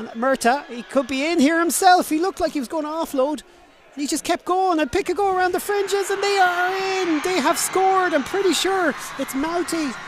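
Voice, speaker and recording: An animated, excited voice moves at a fairly quick pace against loud background noise, in a dry sound with no echo. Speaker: rugby match commentator. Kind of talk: live sports commentary. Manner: animated, fast-paced play-by-play; excited, punchy, rising at tries and kicks.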